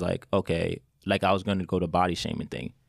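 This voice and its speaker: Fairly quick speech with a New York accent, on a very clean recording with a silent background. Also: man. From New York, Westchester. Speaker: podcast host. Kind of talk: casual chat. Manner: animated.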